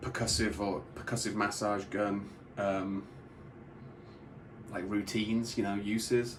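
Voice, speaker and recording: A man with a British accent, fairly low in pitch, in monotone, flat intonation at a fairly slow pace, with long, frequent pauses, audible room echo and noticeable background noise. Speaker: product reviewer. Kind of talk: product review tutorial.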